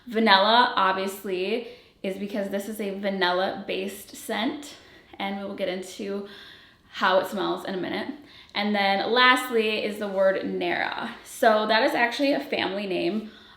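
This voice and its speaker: A woman speaks at a medium pitch. Audible echo from the room surrounds her voice. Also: ordinary pitch variation, moderate pace. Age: 30s. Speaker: fragrance brand founder and reviewer. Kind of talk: product presentation to viewers. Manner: casual, filler-heavy.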